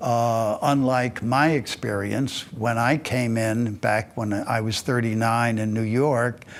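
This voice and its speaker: The pace is very slow, with hardly any pauses. Intonation remains fairly even throughout. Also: man, medium pitch for a man. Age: 80s+. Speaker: interviewee recounting life story. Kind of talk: testimony. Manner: halting, many filler words.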